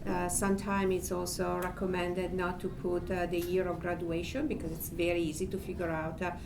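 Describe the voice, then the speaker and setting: Woman speaking at a fairly quick pace, with audible room echo and noticeable background noise. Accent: Italian. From Italy. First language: Italian. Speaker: panelist. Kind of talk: panel discussion.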